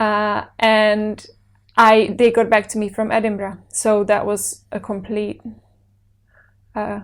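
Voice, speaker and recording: The speech is very slow, with monotone, flat intonation and long, frequent pauses. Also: woman, fairly high pitch for a woman, very clean recording, silent background. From Czech Republic, Brno. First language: Czech. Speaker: actor. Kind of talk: interview.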